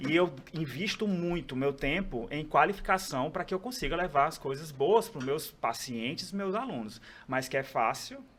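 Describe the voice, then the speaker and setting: With hardly any pauses, the speech proceeds at a moderate pace. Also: man, fairly high pitch for a man, lively intonation. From Brazil, Ceará (Northeast). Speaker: pharmacist and aesthetics professor. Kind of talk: podcast interview.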